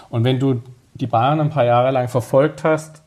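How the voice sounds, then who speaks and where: Somewhat breathy and fairly quick, a man speaks at medium pitch with ordinary pitch variation. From Stuttgart, southern Germany. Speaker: sports journalist and author. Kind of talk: casual podcast conversation.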